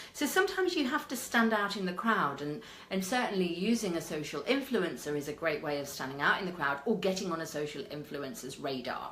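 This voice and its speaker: With a British accent, a woman talks at a fairly quick pace with hardly any pauses, a fairly low pitch and very wide pitch swings, amid noticeable background noise and audible room echo. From Britain. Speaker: media and PR consultant. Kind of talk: live stream talk. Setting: live video. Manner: animated.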